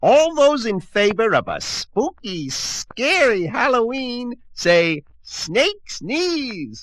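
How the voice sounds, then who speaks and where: A man puts on a character voice with an extremely high pitch. He speaks very slowly. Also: hardly any pauses. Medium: read story. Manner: fierce, crackling.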